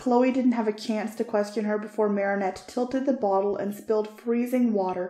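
An unforced reading voice holds a fairly even intonation throughout.

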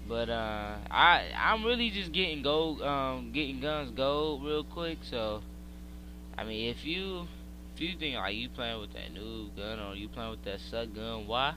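Audible room echo surrounds the recording. A man speaks at a fairly slow pace. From Pennsylvania, US. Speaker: gaming YouTuber. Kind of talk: live gameplay commentary. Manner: casual, hesitant with many fillers.

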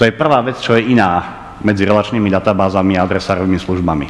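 The pace is moderate as a man talks. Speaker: lecturer. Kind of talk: lecture. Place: hall.

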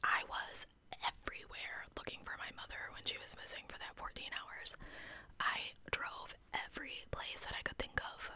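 Whispering at a moderate pace, with big swings in loudness. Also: woman. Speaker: true crime storyteller. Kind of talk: casual commentary. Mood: suspicious, opinionated. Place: home room. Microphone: studio mic.

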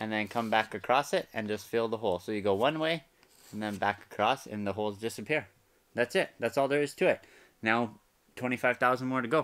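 A man at a fairly quick pace, with ordinary pitch variation. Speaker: DIY vlogger. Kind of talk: tutorial. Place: bus. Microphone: phone near.

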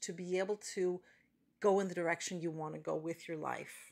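A woman talks at a moderate pace. Nothing much stirs behind her. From Canada. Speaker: hypnotherapist. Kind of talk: promotional talk to camera. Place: car. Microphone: phone near.

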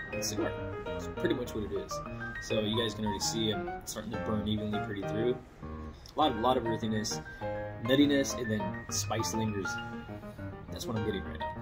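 Loud music plays behind a man who talks at a very fast pace. He leaves long, frequent pauses. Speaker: cigar reviewer. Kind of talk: casual talk to camera. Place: garden. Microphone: phone near.

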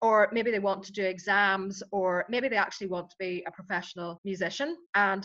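Fairly quick talk from a woman at medium pitch, fairly bright in tone, with ordinary pitch variation

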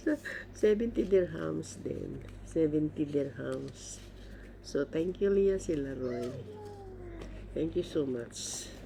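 The pace is very slow. Long, frequent pauses break up the speech. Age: 70s. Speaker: vlogger. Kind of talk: unboxing vlog.

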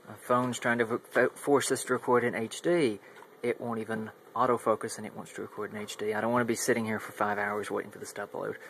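A man talks at a very fast pace with fairly even intonation. Noticeable background noise runs under his voice. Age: 20s. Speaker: electronics hobbyist YouTuber. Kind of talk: casual product demo. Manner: halting. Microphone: phone near.

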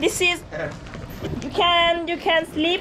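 At a fairly slow pace, a woman uses a raised, projected voice amid noticeable background noise. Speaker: tour guide vlogger. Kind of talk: casual vlog chat. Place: tunnel cave. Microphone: phone near.

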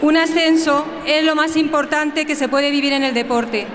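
Over light background noise, a woman speaks in a high pitch with monotone, flat intonation. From Spain. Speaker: football club president. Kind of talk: festival opening speech. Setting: outdoors, PA system. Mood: proud, emotional. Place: street. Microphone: podium.

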